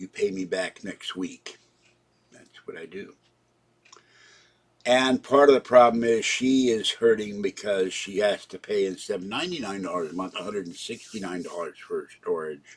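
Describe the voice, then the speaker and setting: A man with a Pittsburgh accent, fairly low pitch and ordinary pitch variation, moderate pace, big swings in loudness. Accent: western Pennsylvania (Pittsburgh) American. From Pittsburgh, Pennsylvania. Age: 70s. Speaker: live streamer / vlogger. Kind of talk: casual live-stream monologue. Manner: rambling, halting.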